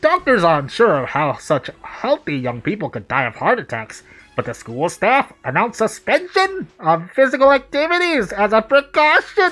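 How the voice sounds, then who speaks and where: Putting on a character voice, a man talks in a high pitch with very wide pitch swings and hardly any pauses. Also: moderate pace. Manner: grave, theatrical narration.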